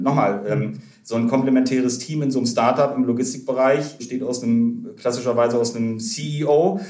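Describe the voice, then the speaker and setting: Audible room echo around a man talking fairly quickly, his medium pitch moving with ordinary variation. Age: 30s. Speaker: startup founder and investor. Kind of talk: podcast interview.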